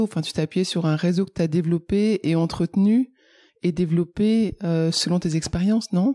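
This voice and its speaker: A woman talks at a moderate pace with a fairly low pitch, a dark, mellow tone and ordinary pitch variation. The very clean recording has a silent background and a dry, close sound with no echo. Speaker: podcast host. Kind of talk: podcast interviewer.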